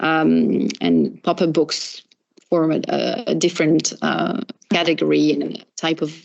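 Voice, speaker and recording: At a very slow pace, a woman talks with a French accent. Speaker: professor. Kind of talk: academic Q&A after lecture. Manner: halting, many fillers.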